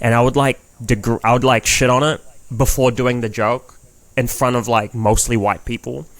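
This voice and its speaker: Speaking in a New Zealand accent, a man talks at a moderate pace and medium pitch. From New Zealand, Filipino heritage. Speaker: comedian. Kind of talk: casual chat. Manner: animated.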